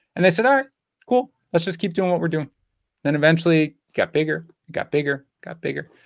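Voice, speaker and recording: In a dry, close sound with no echo, a man with an American accent speaks very fast at a fairly high pitch with lively intonation and long, frequent pauses. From Queens, New York. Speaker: fantasy football editor and podcast host. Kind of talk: casual chat.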